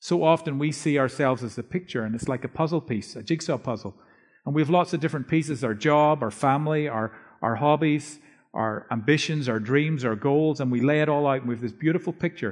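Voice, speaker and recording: A man's fairly high-pitched voice moves at a fairly quick pace, with ordinary pitch variation. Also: quiet background. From Northern Ireland. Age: 50s. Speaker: preacher and author. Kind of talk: sermon. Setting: church.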